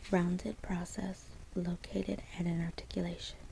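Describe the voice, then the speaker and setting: A woman talks at a moderate pace. She is soft-spoken. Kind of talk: ASMR soft-spoken study session.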